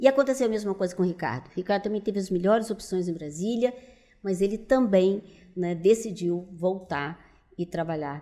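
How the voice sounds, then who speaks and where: A woman's dark, mellow tone at medium pitch, with lively intonation and a moderate pace. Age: 70s. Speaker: businesswoman. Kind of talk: interview conversation.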